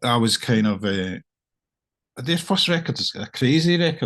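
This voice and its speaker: A man speaks with a Scottish accent and lively intonation. The background is quiet. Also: dry, close sound with no echo. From Scotland, Irvine, Ayrshire. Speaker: singer-songwriter, musician. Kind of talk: casual interview chat. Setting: video call. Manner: halting, with many fillers and repeats.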